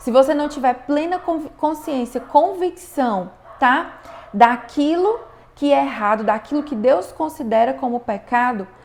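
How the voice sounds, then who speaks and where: A woman with a high pitch and lively intonation at a fairly slow pace, over noticeable background noise. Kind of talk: online class, religious teaching.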